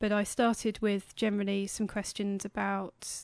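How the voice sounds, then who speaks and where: This woman talks at a moderate pace in a medium pitch, her intonation monotone and flat. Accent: British. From England, Cambridge. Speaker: anthropologist. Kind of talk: interview. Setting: studio.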